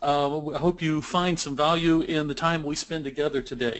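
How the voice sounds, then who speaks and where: A man is speaking here. His pitch is fairly high. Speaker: software training manager and webinar presenter. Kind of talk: webinar presentation. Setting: webinar broadcast. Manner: fast.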